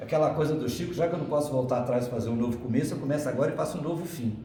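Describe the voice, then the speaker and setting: An animated man amid noticeable background noise and audible room echo. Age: 60s. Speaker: spiritist lecturer. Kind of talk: spiritist lecture. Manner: animated, conversational.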